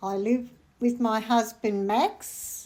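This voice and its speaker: Speaking with an Australian accent, a woman with a fairly high pitch talks at a very slow pace. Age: 80s+. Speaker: retired bookkeeper. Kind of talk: interview.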